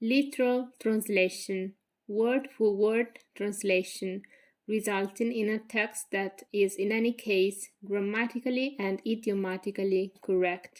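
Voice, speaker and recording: A woman speaks with an Italian accent at a fairly slow pace. Her intonation is fairly even, in a very clean recording with a silent background. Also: medium pitch for a woman. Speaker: graduate student. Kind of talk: thesis presentation. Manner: formal.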